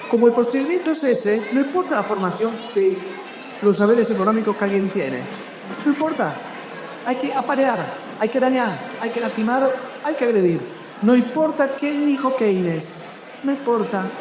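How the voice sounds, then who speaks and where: Amid noticeable background noise and audible room echo, a man speaks at an extremely high pitch and a moderate pace, with ordinary pitch variation and long, frequent pauses. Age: 50s. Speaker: writer. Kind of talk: public interview at a book festival.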